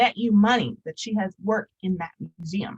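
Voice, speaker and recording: A woman with a somewhat breathy, medium-pitched voice speaks at a fairly quick pace. The sound is dry and close, without echo. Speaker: curator and visual artist giving a talk. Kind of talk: public lecture presentation. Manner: fast; many filler ums.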